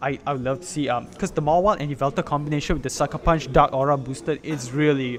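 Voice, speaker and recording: A man with a fairly high voice speaks at a very fast pace. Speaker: esports commentator. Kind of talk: live commentary. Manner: animated.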